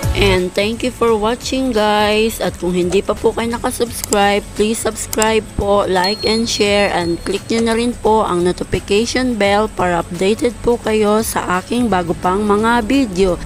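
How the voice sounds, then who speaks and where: A woman speaks at a fairly slow pace with hardly any pauses, her fairly high voice holding very even loudness and fairly even intonation over music in the background. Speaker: cooking vlogger. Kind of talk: cooking tutorial. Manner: polite, uses po often.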